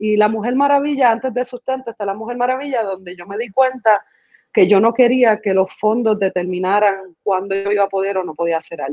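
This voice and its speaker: Using a normal speaking voice, a woman talks fairly quickly at a fairly high pitch that varies in an ordinary way. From Puerto Rico, raised partly in the US. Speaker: performance artist and choreographer. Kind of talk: casual interview.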